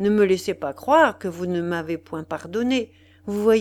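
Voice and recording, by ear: The text is read aloud in a natural voice.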